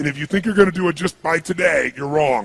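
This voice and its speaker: This man speaks with an energetic tone at a fairly quick pace, his pitch high with ordinary variation. The sound is dry and close, with no echo. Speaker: motivational speaker. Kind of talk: live seminar motivational speech to an audience. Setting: live seminar room with audience. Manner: energetic, emphatic, audience-interactive.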